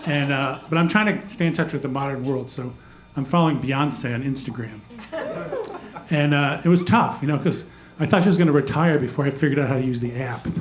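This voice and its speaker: Against noticeable background noise and audible room echo, a man with a fairly high pitch talks at a fairly quick pace. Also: ordinary pitch variation. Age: 60s. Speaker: stand-up comedian. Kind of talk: stand-up. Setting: stage with audience. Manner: hesitant, many fillers.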